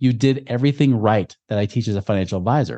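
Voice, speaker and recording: A man with an unremarkable speaking voice speaks at medium pitch. He moves at a fairly quick pace. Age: 40s. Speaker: financial coach. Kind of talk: interview. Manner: casual, conversational.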